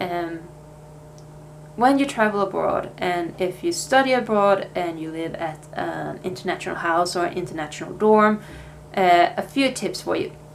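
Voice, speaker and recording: A woman with a Swedish accent speaks at a moderate pace and medium pitch with ordinary pitch variation, over noticeable background noise and audible room echo. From Sweden. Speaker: vlogger, language student. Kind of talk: casual vlog talk. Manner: casual, hesitant with fillers.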